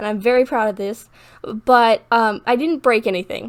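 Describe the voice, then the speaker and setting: Her pitch shifting in an ordinary way, a woman is talking. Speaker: gaming youtuber. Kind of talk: casual voiceover chat. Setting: home recording alone in room. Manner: fast.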